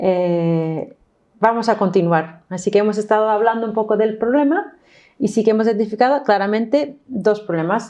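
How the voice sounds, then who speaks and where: A woman speaks with an English accent. Her pitch is fairly high and varies in an ordinary way. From New York, US. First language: English (speaking Spanish). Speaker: course instructor. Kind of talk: online course lesson.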